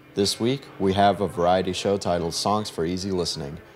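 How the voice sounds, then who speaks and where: Through noticeable background noise, a man talks at a fairly quick pace in a very deep, low voice with fairly even intonation. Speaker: radio host. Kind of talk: scripted radio links between live music tracks. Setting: studio. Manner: formal, measured announcer delivery.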